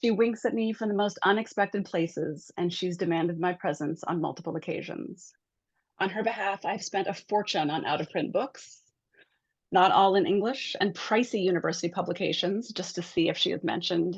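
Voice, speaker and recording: In an unremarkable speaking voice, someone talks at a fairly quick pace with ordinary pitch variation against a quiet background. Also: woman, medium pitch for a woman. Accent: American. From Montana, US. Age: 50s. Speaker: author and art historian. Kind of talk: reading aloud from own book.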